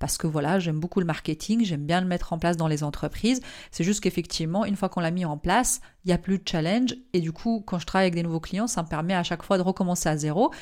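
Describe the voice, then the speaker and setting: In a very clean recording with a silent background, a woman speaks very fast at a medium pitch with ordinary pitch variation. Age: 30s. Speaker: marketing consultant and entrepreneur. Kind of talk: interview.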